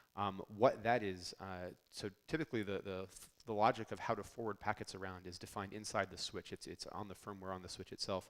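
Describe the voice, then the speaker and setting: A man with a fairly low pitch speaks at a fairly quick pace, his intonation fairly even but his loudness swinging widely. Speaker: network engineer presenter. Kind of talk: conference technical talk. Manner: fast.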